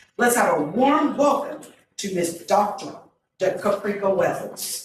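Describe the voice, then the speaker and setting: Audible room echo surrounds a woman who speaks at a very slow pace, medium in pitch, with lively intonation. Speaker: event MC and local educator. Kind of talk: event hosting and speaker introductions. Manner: loud.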